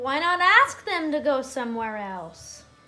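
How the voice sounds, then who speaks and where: A high, female-sounding put-on character voice at a fairly slow pace, with faint music in the background. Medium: read story. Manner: calm, plain, matter-of-fact.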